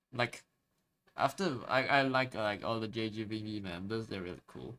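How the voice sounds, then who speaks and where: This man's medium-pitched voice has a bright, sharp tone, an ordinary amount of pitch variation and a moderate pace. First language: Chinese. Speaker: streamer. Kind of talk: casual chat. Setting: live stream. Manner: halting.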